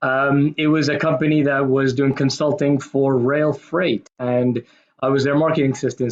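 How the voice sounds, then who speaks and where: With a slight American accent, a man speaks at a moderate pace in a fairly high pitch, his intonation monotone and flat. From Kuwait and Pakistan, American school. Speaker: marketing manager, talk speaker. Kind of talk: presentation talk.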